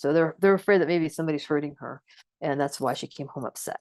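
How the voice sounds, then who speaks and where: Against a quiet background, a woman speaks in a fairly low pitch with ordinary pitch variation, the sound dry and close with no echo. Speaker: trainer. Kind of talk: lecture. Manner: fast; filler words and repetitions.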